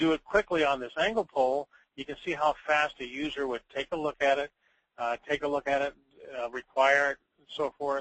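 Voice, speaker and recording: In an ordinary speaking voice, a man talks at a fairly quick pace with fairly high pitch, fairly even intonation and big swings in loudness. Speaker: software demonstrator. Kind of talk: live software demonstration.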